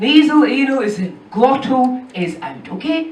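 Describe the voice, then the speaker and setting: A woman speaks with an Edinburgh accent at a high pitch. Audible room echo and noticeable background noise surround her voice. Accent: Scottish, from Edinburgh. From Edinburgh, Scotland. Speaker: stand-up comedian. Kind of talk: stand-up. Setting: stage with audience.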